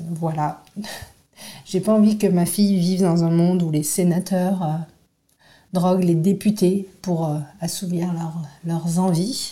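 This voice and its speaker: A woman speaks very slowly in a flat monotone with long, frequent pauses. Her voice is somewhat breathy, with a dark, mellow tone and a fairly low pitch. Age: 40s. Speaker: activist. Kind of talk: testimony.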